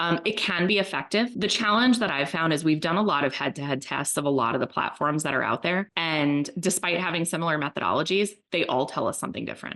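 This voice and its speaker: Delivered at a very fast pace with hardly any pauses, the speech has lively intonation. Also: woman, fairly low pitch for a woman. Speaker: marketing agency executive. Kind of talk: informal expert discussion.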